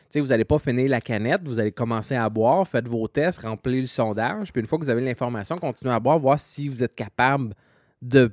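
A man speaks in a normal speaking voice at medium pitch, with ordinary pitch variation. The recording is very clean with a silent background, and the sound is dry and close with no echo. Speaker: homebrewing podcast co-host. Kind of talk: casual chat.

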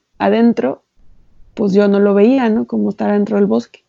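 A woman's dark, mellow tone at medium pitch, with ordinary pitch variation and a dry, close sound with no echo. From Mexico, Xalapa, Veracruz. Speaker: novelist. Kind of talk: interview.

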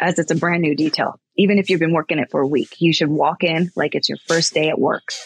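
A woman with an American accent speaks at a very fast pace and fairly low pitch. Her intonation is monotone and flat, and the sound is dry and close with no echo. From California, US. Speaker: executive protection agent and firearms instructor. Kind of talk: casual interview.

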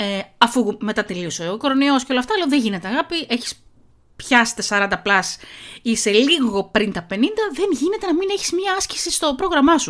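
High-pitched woman, animated tone with very wide pitch swings, on a very clean recording with a silent background. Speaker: podcast host. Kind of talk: casual monologue with article reading. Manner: fast.

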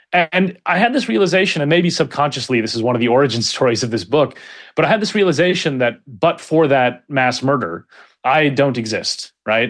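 Fairly quick and fairly high-pitched, a man talks with lively intonation in a plain, everyday voice. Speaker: author and political scientist. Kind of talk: interview conversation.

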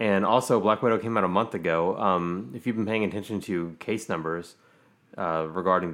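This man's pitch is very deep and low. He moves at a moderate pace with ordinary pitch variation. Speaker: podcast host. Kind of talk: casual chat. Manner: casual, hesitant, filler-heavy.

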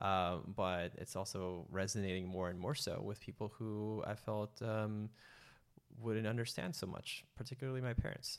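An ordinary speaking voice from a man with an American accent, fairly low pitch, ordinary pitch variation and a moderate pace, in a very clean recording with a silent background. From San Francisco Bay Area, US. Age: 30s. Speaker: retreat organizer, former banker. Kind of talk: casual interview.

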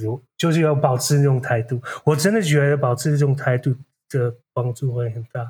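The man's voice is somewhat breathy, with ordinary pitch variation. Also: medium pitch for a man, moderate pace. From Netherlands. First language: Dutch (speaking Chinese). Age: 40s. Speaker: graduate student. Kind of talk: interview. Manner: halting.

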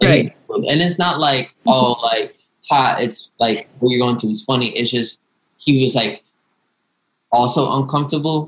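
A man talks at a moderate pace with medium pitch and ordinary pitch variation. He has an unremarkable speaking voice. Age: 19. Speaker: student, aspiring actor and writer. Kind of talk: casual group discussion.

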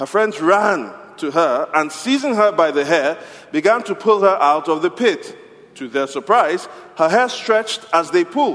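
Over noticeable background noise, a man with a high pitch speaks at a moderate pace in an animated, playful tone with lively intonation. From Nigeria; Yoruba, West Africa. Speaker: pastor. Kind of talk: sermon; storytelling, call-and-response folk tale. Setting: church. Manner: animated, playful, inviting audience to answer.

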